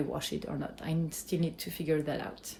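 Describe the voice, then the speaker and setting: A woman with a French accent talks over noticeable background noise. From France. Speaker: cheesemaker, small business owner. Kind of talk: vlog update.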